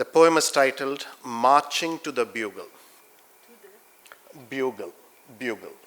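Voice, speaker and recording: Speaking very slowly with long, frequent pauses, a man with a Keralan accent uses a fairly high pitch and fairly even intonation while his loudness swings widely. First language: Malayalam. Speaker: poet. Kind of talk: poetry reading.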